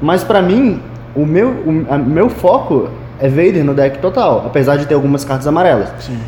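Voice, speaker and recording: A man's fairly high-pitched voice at a moderate pace, with noticeable background noise and audible room echo. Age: 20s. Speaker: card game player and game store worker. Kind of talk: casual chat. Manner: halting, repeats words.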